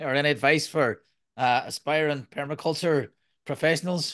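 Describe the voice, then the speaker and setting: A man is speaking at a moderate pace. His voice sits fairly high. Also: quiet background. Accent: Irish. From Ireland. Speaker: podcast host and permaculture designer. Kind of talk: casual interview.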